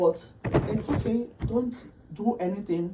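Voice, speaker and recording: An animated woman's voice with lively intonation against noticeable background noise. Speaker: customer. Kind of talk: heated argument.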